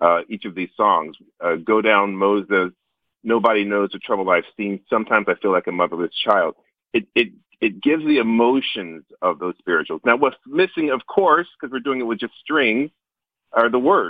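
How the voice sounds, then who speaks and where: A man with a normal speaking voice talks in an American accent at a moderate pace. His medium-pitched voice has lively intonation. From US South, North Carolina. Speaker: orchestra conductor. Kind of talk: interview. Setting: phone call.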